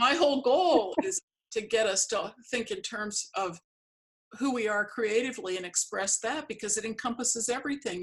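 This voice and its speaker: This woman has a normal speaking voice, moving at a moderate pace with a fairly high pitch. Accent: American. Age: 60s. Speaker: artist and interviewer. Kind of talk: casual interview.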